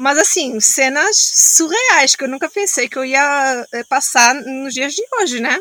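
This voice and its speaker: A woman speaks in a high voice at a fairly slow pace. Her intonation is lively. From Angola, Luanda. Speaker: social entrepreneur. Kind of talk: casual interview chat.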